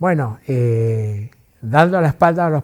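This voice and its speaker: A man speaks at a medium pitch with lively intonation and a dark, mellow, somewhat breathy tone. The sound is dry and close, with no echo. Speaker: interviewee recounting family history. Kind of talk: interview testimony. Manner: hesitant, halting with filler words.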